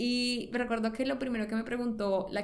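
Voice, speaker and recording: A woman's fairly high voice, fairly even in intonation, with audible room echo. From Colombia, Cali. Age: 30s. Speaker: interviewee sharing emigration story. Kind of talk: personal storytelling.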